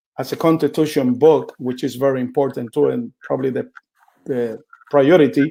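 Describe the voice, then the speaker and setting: With a Puerto Rican accent, a man speaks at a fairly high pitch in a dark, mellow tone with ordinary pitch variation. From Puerto Rico. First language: Spanish. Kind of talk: teaching talk.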